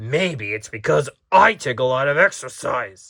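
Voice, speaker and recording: Using a raspy, put-on character voice at a medium pitch, a man speaks in a very clean recording with a silent background. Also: moderate pace. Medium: read story.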